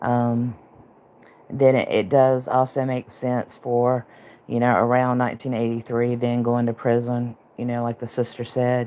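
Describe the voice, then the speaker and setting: Soft-spoken, the speech unfolds at a fairly slow rate. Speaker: online true-crime streamer. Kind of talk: casual livestream commentary.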